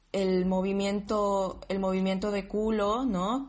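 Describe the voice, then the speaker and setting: Speaking very slowly, a woman keeps a medium pitch and a monotone, flat intonation. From Bolivia, Sucre. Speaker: dancer, DJ and psychologist. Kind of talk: casual interview.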